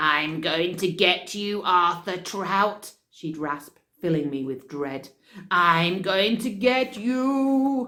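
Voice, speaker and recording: A raspy, put-on character voice, female-sounding, at medium pitch and a very slow pace. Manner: wicked, menacing.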